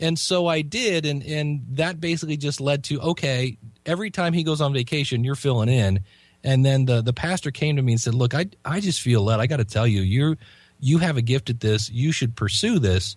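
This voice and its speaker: A man's somewhat breathy, fairly high voice at a fairly quick pace, with very even loudness. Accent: American. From US Midwest, Ohio. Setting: Skype call.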